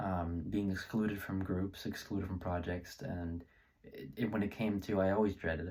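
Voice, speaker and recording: The voice has a dark, mellow tone and fairly even intonation at a fairly slow pace. The recording is very clean, with a silent background. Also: man. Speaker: student presenter. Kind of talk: presentation. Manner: halting, many fillers.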